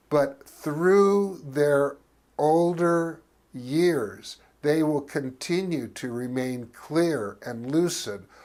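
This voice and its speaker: Very slowly, a man talks in a fairly high pitch with ordinary pitch variation, in a very clean recording with a silent background. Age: 60s. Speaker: talk show host and cannabis advocate. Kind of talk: scripted monologue to camera.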